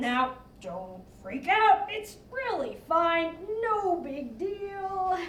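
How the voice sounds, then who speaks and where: Over clear background noise and a slight echo, a put-on character voice at an extremely high pitch moves at a very slow pace with hardly any pauses. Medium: stage. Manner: hesitant, halting.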